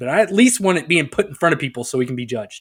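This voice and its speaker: A man with a Texas accent and lively intonation. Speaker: podcast co-host. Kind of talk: casual, profane. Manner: stammering, lots of verbal fillers.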